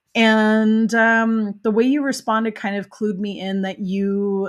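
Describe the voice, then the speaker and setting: Speaking at a fairly slow pace, a woman has an American accent and a medium pitch with ordinary variation. The recording is very clean, and the background is silent. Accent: flawless American. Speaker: podcast host; parent. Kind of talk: casual interview chat. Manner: animated.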